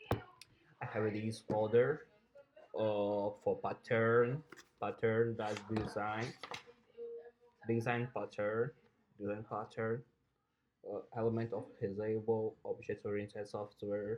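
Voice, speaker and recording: A man at medium pitch, monotone and flat, very slow, with long, frequent pauses. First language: Portuguese. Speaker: software programmer and coding teacher. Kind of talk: tutorial. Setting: home recording room, no studio. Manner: halting, hesitant with repetitions.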